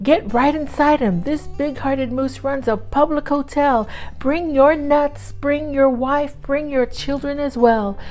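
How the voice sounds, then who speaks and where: A high-pitched woman puts on a character voice. She goes at a fairly slow pace over clear background noise. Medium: read story.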